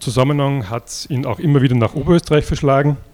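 A man is speaking here. His pitch is medium. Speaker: archaeology society chairman. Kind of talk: event introduction speech.

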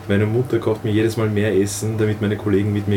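A man talks at a fairly quick pace with a fairly low pitch. Noticeable background noise runs under his voice. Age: 20s. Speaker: youth leader of a religious community. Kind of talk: interview.

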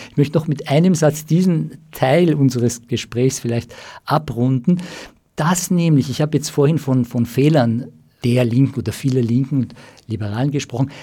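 A man with a medium pitch and a dark, mellow tone speaks at a moderate pace. His voice is somewhat breathy, with ordinary pitch variation. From Austria, Germany and Iran. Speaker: psychoanalyst and writer. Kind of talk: radio interview. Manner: halting, many fillers.

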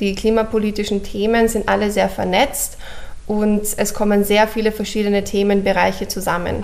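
At a moderate pace, a woman of medium pitch delivers monotone, flat intonation with very even loudness amid audible room echo. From Austria, Vienna. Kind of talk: radio interview.

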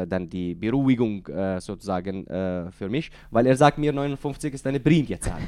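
Speaking in an Arabic accent, a man uses a dark, mellow tone at medium pitch, moving at a moderate pace with lively intonation. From Syria, Deir ez-Zor. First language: Arabic (speaking German). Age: 30s. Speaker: author. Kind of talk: interview. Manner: halting.

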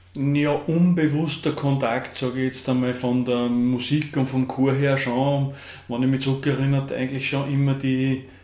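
A man talks in a monotone, flat intonation at a medium pitch with a slight Upper Austrian accent. Audible room echo surrounds his voice. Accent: Upper Austrian dialect-tinged German. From Upper Austria, Kremstal. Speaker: dance teacher. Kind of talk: radio interview. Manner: hesitant, many fillers.

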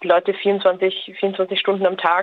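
Medium-pitched woman, monotone and flat in intonation, over noticeable background noise. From Austria. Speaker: social scientist. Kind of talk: interview.

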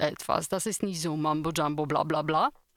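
In a Polish accent, a woman speaks at a moderate pace on a very clean recording with a silent background. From Poland. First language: Polish (speaking German). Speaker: radio trainee. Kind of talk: casual radio chat.

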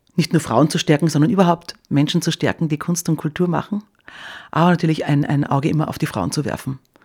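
Pitch varies in an ordinary way while the delivery runs very fast. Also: woman, very deep, low pitch for a woman. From Styria, Austria. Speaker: cultural association organiser. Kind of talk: radio interview.

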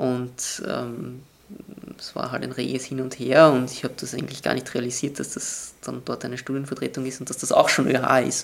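A man talks at a moderate pace and medium pitch, his intonation flat and monotone. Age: 20s. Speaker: student representative. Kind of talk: interview. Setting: student union office. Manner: halting.

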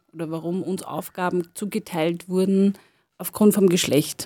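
A woman with a plain, everyday voice speaks at medium pitch with fairly even intonation on a very clean recording with a silent background. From Lower Austria, farm. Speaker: sociologist and cultural worker. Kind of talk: radio interview. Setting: studio.

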